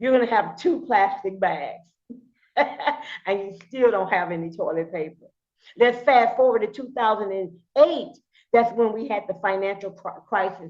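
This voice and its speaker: With normal pitch movement and at a moderate speed, a woman talks in an ordinary speaking voice. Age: 60s. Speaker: crypto project presenter. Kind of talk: sales pitch presentation.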